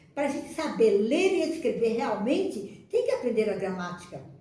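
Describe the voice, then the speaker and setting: A woman with a high voice speaks at a moderate pace, her pitch swinging very widely. Audible echo fills the room. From Northeast Brazil, Ceará. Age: 80s+. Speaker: retired schoolteacher. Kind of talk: personal reminiscence to camera. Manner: halting, with many repetitions and restarts.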